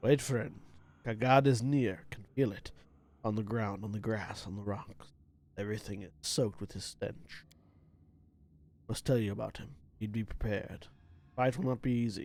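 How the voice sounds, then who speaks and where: Using a gruff, put-on character voice, a man speaks at medium pitch and a moderate pace with long, frequent pauses. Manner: urgent, warning.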